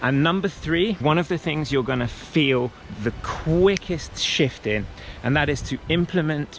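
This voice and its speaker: Here a man talks at a fairly slow pace with lively intonation. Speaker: wellness coach. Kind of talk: motivational talk.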